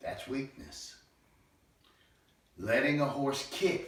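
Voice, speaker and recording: A man speaks with vocal fry. Audible room echo surrounds his voice. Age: 60s. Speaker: horse trainer. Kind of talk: monologue.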